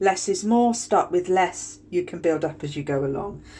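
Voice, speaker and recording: A woman with a British accent talks at a moderate pace. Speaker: skincare tutorial host. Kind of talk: tutorial. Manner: casual, chatty.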